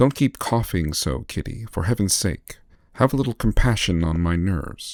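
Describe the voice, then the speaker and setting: An unremarkable speaking voice moves at a moderate pace with lively intonation. The recording is very clean with a silent background, dry and close with no echo. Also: man. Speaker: aspiring voiceover artist. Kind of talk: ASMR audiobook reading for sleep.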